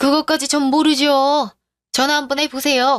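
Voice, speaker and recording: Putting on a character voice, a woman speaks high-pitched and monotone, with flat intonation at a moderate pace. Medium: audio drama.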